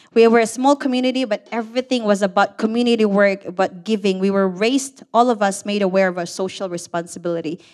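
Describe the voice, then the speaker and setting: A woman talks at a very fast pace with hardly any pauses. Her voice sits at a medium pitch and shows ordinary pitch variation. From Philippines (Negros Occidental). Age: 50s. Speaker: storyteller. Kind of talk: live storytelling. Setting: stage with audience. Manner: nervous.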